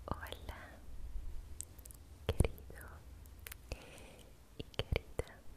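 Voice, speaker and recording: A woman speaks at a very slow pace. She takes long, frequent pauses. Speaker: ASMR creator. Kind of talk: guided relaxation for sleep. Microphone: studio mic.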